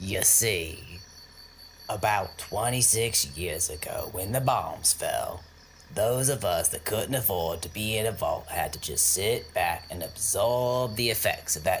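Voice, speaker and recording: A man's put-on character voice, fairly low in pitch and fairly slow, with clear background noise. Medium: audio drama. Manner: brash, crude and boastful.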